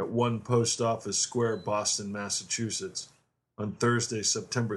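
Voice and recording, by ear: The voice reads aloud naturally, its intonation fairly even, over a quiet background.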